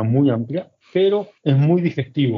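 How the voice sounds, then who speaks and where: Medium in pitch, this man's voice rises and falls an ordinary amount. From Argentina, Buenos Aires. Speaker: chef. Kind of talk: casual chat.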